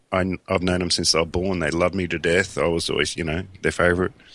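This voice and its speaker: Very deep and low in pitch, a man talks at a fairly quick pace with an Australian accent. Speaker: coffin maker, podcaster. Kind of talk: casual chat. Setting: Skype call.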